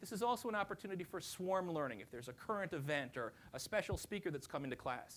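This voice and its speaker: A man in an American accent speaks very fast, his intonation lively. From New Jersey. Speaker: professor. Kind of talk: conference presentation.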